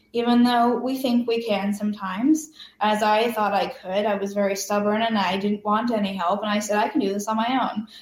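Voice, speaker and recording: A woman with a plain, everyday voice speaks at a fairly quick pace with hardly any pauses. Her pitch is fairly high and her intonation fairly even. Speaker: cancer survivor and patient advocate. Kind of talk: interview.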